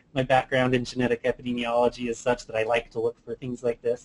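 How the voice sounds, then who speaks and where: Fairly quick male speech, medium in pitch. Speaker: scientist giving software demo. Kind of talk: webinar tutorial.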